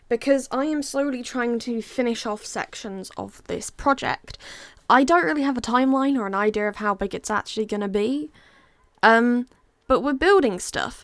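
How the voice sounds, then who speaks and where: In an English accent, a woman speaks at a moderate pace with a high pitch and ordinary pitch variation. The recording is very clean, with a silent background. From England. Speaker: Minecraft content creator. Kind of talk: casual gameplay commentary. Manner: casual, rambling.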